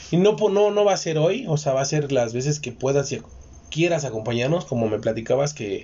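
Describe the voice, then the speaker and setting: At a fairly quick pace, a man speaks in a fairly high, somewhat breathy voice with lively intonation. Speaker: podcast host. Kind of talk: casual chat.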